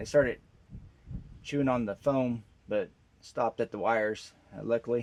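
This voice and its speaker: A man speaks at a moderate pace in a relaxed tone, his medium pitch moving with ordinary variation. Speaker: garage mechanic video host. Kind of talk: casual how-to vlog. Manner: relaxed, many filler words.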